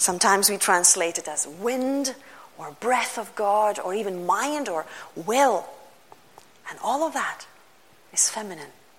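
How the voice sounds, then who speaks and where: At a fairly slow pace with long, frequent pauses, a woman speaks at a medium pitch with lively intonation, and audible room echo. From Lithuania. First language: Lithuanian. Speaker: pastor. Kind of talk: sermon.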